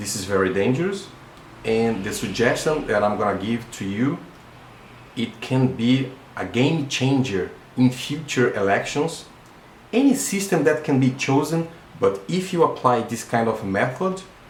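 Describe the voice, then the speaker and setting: The man talks at a moderate pace and a medium pitch. His intonation is lively, with audible room echo around him. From Brazil. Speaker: electronic engineer. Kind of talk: video monologue / explainer. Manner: halting, with fillers and repetitions.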